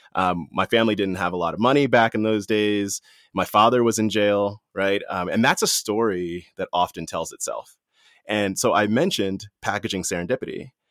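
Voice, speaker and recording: A man with an American accent and a plain, everyday voice speaks at a moderate pace and fairly low pitch with ordinary pitch variation. The recording is very clean, dry and close with no echo, and the background is silent. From Washington, D.C. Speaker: corporate executive. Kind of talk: interview.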